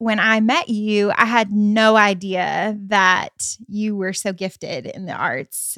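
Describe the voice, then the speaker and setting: A woman speaks with an American accent at a fairly high pitch. The recording is very clean, with a silent background and a dry, close sound free of echo. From US Midwest, Michigan. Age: 30s. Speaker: host's wife, co-founder of arts ministry. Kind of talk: casual chat. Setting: at home on the couch.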